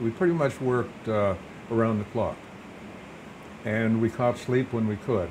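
Moderate pace and fairly even intonation, set against noticeable background noise. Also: man. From Kodiak, Alaska. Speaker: retired police chief. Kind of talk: interview answer. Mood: calm reminiscing. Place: studio. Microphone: lapel.

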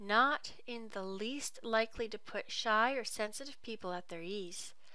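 This is a natural reading voice. The words are read out plainly.

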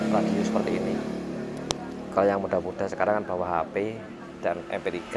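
The speaker is a man. He goes at a moderate pace while loud noise sounds behind him. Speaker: radio repair technician. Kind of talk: casual tutorial chat. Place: workshop. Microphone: lapel.

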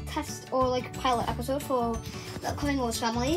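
Clear music plays behind a woman as she talks. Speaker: doll play vlogger. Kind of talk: casual vlog chat and doll role-play. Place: home room. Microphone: phone near.

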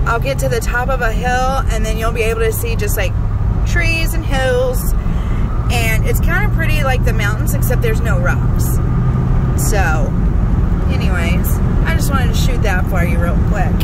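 Long, frequent pauses, loud background noise, and a dry sound with no echo. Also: moderate pace. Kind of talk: casual vlog chat. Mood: relaxed, cheerful, laughing. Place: car. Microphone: phone near.

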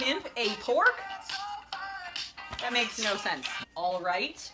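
Loud music plays in the background. Over it, a woman speaks at a very slow pace. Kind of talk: casual talk to camera. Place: home room. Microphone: camera far.

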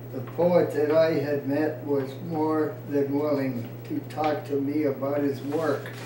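Very slow and monotone with flat intonation, a man's fairly high voice comes through noticeable background noise. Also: hardly any pauses. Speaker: poet. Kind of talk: informal poetry reading, unrehearsed, with stumbles and laughter. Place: home room. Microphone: camera far.

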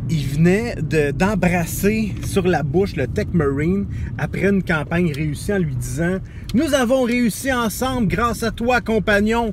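Speech comes at a very slow pace with noticeable background noise. The sound is dry, with no echo. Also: man, high pitch for a man. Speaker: vlogger. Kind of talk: casual vlog chat, storytelling. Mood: amused, proud storytelling. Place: car. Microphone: phone near.

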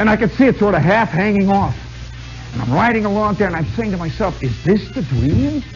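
A man speaks at a moderate pace. Faint music can be heard in the background. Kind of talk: storytelling monologue to live audience. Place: stage. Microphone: old recording.

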